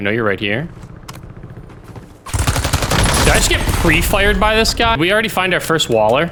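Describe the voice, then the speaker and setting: Speech comes at a moderate pace with long, frequent pauses, set against noticeable background noise. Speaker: gaming YouTuber. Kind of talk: gameplay commentary. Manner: casual, conversational.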